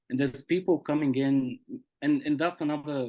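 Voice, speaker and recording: With a Bulgarian accent, a man talks at a moderate pace in a dark, mellow tone, his intonation fairly even. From Bulgaria and Austria. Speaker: poet. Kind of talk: interview. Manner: halting, repeats words.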